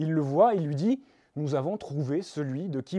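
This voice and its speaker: A man's fairly high, dark and mellow voice in a Toulouse accent, ordinary pitch variation, quiet background. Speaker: preacher. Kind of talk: sermon.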